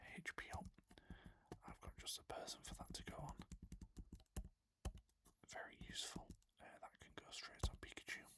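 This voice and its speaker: Someone whispers at a moderate pace. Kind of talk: soft-spoken ASMR gaming commentary. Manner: whispered, soft-spoken.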